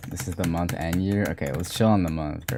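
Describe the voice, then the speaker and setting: A man's very deep, low voice is heard against noticeable background noise. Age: 20s. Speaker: gaming streamer. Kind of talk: live stream chat. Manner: monotone; casual.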